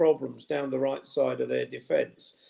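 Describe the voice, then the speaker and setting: Speaking with an English accent, a man keeps a moderate pace. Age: 60s. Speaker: football fan pundit. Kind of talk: casual chat. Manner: halting, many fillers.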